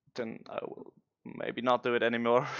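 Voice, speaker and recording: The pace of this man's speech is moderate. He has a non-native accent. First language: not English. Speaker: gaming content creator. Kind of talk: commentary on game patch notes. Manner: halting.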